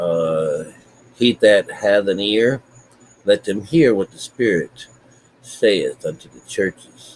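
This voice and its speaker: A quiet man speaking at a very slow pace amid noticeable background noise. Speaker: spiritual teacher. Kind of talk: bible teaching. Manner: quiet, talking low.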